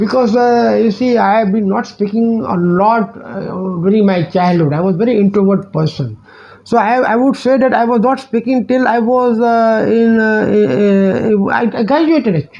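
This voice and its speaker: A man with an Indian accent, high in pitch, at a moderate pace with ordinary pitch variation, amid noticeable background noise. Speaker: teacher and life coach YouTuber. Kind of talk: direct-to-camera channel introduction. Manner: halting, many fillers and repetitions.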